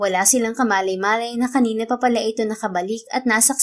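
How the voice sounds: Reading in a natural voice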